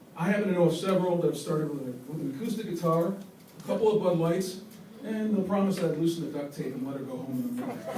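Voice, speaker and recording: Speaking very fast in an American accent, a man with a high pitch shows ordinary pitch variation over audible room echo and noticeable background noise. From Ohio, Columbus. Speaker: stand-up comedian. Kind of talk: stand-up. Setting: stage with audience. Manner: hesitant, many fillers.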